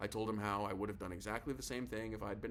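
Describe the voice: Plain reading aloud, its intonation fairly even.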